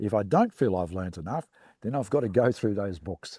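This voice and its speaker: A man with an Australian accent, fairly low in pitch and dark and mellow in tone, in a very clean recording with a silent background and a dry, close sound with no echo. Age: 60s. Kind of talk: interview testimony. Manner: hesitant, many fillers.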